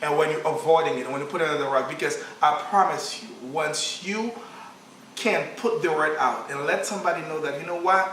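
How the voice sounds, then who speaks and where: A man with a Haitian accent speaks at a fairly quick pace and a fairly high pitch, with ordinary pitch variation. Noticeable background noise and audible room echo come through. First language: Haitian Creole. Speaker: counselor and charity founder. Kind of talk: interview. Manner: halting.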